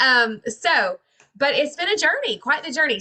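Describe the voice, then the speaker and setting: In a Georgia accent, a woman speaks at a high pitch. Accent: Southern (Georgia). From Georgia, US South. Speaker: network marketing distributor. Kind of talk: casual testimony on video call. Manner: animated.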